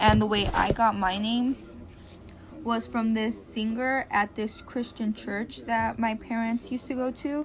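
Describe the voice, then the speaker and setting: Noticeable background noise sits behind a woman speaking with a Spanish accent. Her fairly high voice moves at a fairly slow pace with fairly even intonation. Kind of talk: personal narrative.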